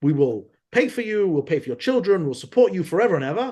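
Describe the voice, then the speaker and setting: A man with a London accent talks very fast in an animated tone, his pitch swinging very widely. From London, England. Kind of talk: podcast interview, historical lecture. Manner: animated storytelling with many repetitions.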